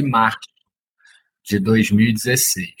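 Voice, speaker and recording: Male speech, somewhat breathy, with ordinary pitch variation. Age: 30s. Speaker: activist and former teacher. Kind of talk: interview.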